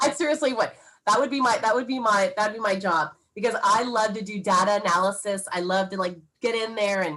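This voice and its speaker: Speaking at a fairly quick pace, this woman has a medium pitch, ordinary pitch variation and a bright, sharp tone. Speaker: title company sales rep. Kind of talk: Q&A workshop talk. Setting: video call. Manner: fast.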